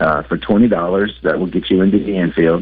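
A man's very deep, low voice with an American accent, against noticeable background noise. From US South, El Dorado, Arkansas. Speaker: racing casino events representative. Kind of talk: casual radio interview.

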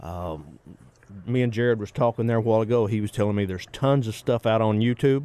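A man with a Southern US accent talks at a very fast pace, his pitch medium and its variation ordinary. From Arkansas. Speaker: taxidermist. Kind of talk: casual chat. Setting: studio.

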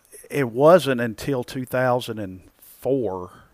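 A man with a Southern US accent and ordinary pitch variation, on a very clean recording with a silent background. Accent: Southern US, noticeable. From Arkansas. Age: 50s. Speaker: amateur golfer. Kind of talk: casual interview.

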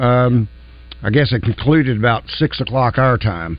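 With a Southern US accent, a man speaks at a fairly slow pace. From Arkansas. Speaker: sports radio host. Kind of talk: call-in sports talk radio. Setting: radio studio.

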